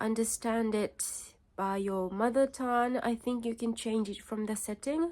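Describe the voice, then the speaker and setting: The speaker has a Japanese accent and fairly even intonation. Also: woman, fairly high pitch for a woman, moderate pace. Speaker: vlogger. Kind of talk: casual vlog talk. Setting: home, parents' house. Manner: halting, many fillers.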